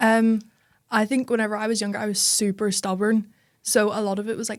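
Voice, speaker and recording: In a Northern Irish accent, a woman speaks at a medium pitch with monotone, flat intonation. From Northern Ireland, Belfast. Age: young. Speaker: tech startup founder. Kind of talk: casual chat.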